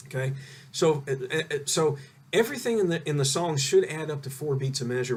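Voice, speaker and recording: A man speaks in a somewhat breathy voice. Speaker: guitar teacher. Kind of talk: online group lesson. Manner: fast.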